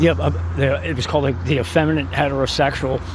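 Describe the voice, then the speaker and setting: A man with an American accent talks at a very fast pace and a medium pitch, his pitch swinging very widely, over noticeable background noise and audible room echo. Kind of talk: opinion monologue. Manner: halting, many fillers.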